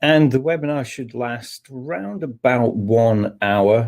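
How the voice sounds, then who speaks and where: A man with a dark, mellow tone, fairly slow pace, and lively intonation. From Scotland. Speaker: technical manager and trainer. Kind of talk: webinar presentation. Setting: online webinar. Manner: hesitant, many fillers.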